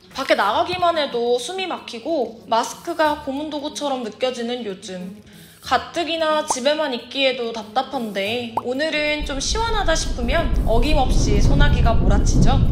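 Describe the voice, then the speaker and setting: Against noticeable background noise, a woman speaks in a high voice. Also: moderate pace, hardly any pauses. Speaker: presenter. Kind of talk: scripted presenter narration. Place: studio.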